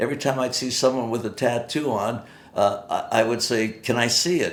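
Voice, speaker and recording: The room echo is audible as a man talks at a fairly quick pace. His pitch is medium and his intonation fairly even. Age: 80s+. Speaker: retired private investigator. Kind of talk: casual monologue. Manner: halting.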